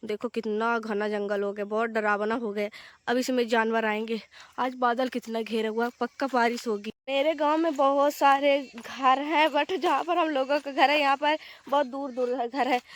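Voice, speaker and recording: Her high-pitched voice moves at a fairly slow pace with ordinary pitch variation as the woman speaks, the sound dry and close with no echo. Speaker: village vlogger. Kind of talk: casual vlog narration. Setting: outdoors in fields.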